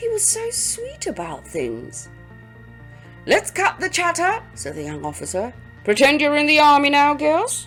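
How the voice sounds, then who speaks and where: A woman at a fairly slow pace, with music in the background. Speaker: audiobook narrator. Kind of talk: audiobook reading.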